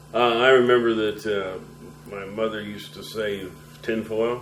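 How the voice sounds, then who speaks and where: An American-accented man speaks with fairly even intonation. Noticeable background noise and audible room echo are present. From US Midwest, Nebraska (Lincoln). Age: 60s. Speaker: war veteran. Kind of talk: oral history interview.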